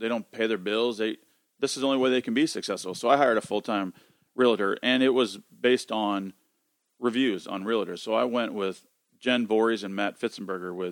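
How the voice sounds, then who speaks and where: This man has an unremarkable speaking voice, fairly low in pitch, moving at a fairly quick pace with fairly even intonation. The recording is very clean, with a silent background and a dry, close sound with no echo. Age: 40s. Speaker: financial advisor. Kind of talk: casual chat.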